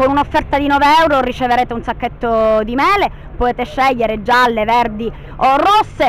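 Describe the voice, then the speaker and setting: Against light background noise, a woman speaks at a high pitch in a dry sound with no echo. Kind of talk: interview answer. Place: street. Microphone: handheld.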